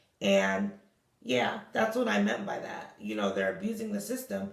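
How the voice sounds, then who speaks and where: A woman's voice with audible room echo. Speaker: vlogger with chronic illness. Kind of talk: personal vlog monologue. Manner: halting, self-correcting.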